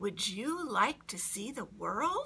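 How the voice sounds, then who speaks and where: A woman's put-on character voice at a fairly high pitch. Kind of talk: children's picture-book read-aloud. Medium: read story.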